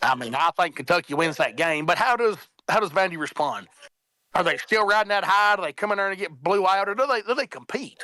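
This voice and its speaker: With a strong Southern accent, a man projects a raised, high-pitched voice with lively intonation, recorded dry and close with no echo. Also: fairly quick pace. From Middle Tennessee. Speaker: college football panelist. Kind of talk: casual sports talk.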